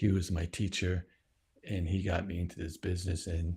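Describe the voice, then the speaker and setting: Very deep, low male voice, dark and mellow, somewhat breathy, monotone and flat at a moderate pace on a very clean recording with a silent background. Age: 60s. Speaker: video producer and podcaster. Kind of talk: casual video introduction. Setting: home studio. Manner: casual, halting.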